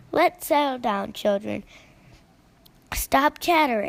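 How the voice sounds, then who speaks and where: A woman's put-on character voice, high-pitched, with lively intonation and a fairly slow pace. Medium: read story. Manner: firm but kind.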